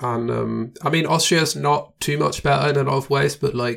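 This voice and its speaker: A man at a moderate pace, fairly high in pitch, with vocal fry and ordinary pitch variation. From Germany. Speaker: podcast host and booking agent. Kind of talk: interview conversation.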